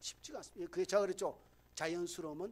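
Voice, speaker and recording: A man is speaking. His pace is very fast. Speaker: pastor. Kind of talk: sermon. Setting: church.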